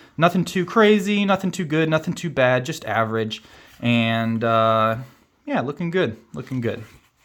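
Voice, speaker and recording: A man in a Kansas accent, medium in pitch, at a moderate pace with very wide pitch swings. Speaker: board game youtuber. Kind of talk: unboxing video. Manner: casual, filler-heavy.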